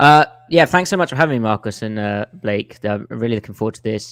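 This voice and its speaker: With an English accent, a man of medium pitch talks at a fairly quick pace with lively intonation, the sound dry and close with no echo. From England. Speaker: football film analyst, podcaster. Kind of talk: casual podcast chat.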